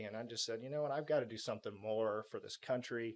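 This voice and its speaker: A man talks at medium pitch. His intonation is monotone and flat. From Texas (Houston). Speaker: military pilot veteran. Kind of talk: podcast interview.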